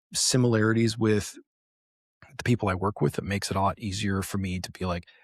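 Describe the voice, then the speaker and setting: Soft-spoken and very fast, a man talks in a fairly low pitch with fairly even intonation. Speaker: business development professional in games. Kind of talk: casual interview chat.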